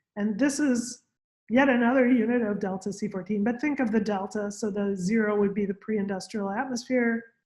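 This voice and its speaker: A woman speaks at a moderate pace in a fairly high pitch. Her voice is somewhat breathy, with fairly even intonation. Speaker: scientist presenting on radiocarbon. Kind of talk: lecture.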